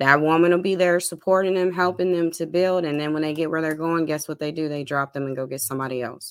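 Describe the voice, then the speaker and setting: A woman with a very deep, low pitch talks at a very fast pace with hardly any pauses and fairly even intonation. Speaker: podcast co-host. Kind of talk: casual debate. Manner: emphatic, opinionated.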